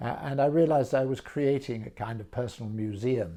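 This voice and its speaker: A man with a southern English accent talks at a moderate pace in a dark, mellow, somewhat breathy tone. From England, Brighton, with French mother. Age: 70s. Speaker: art auctioneer and specialist. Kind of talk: personal introduction talk. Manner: measured, with frequent hesitations.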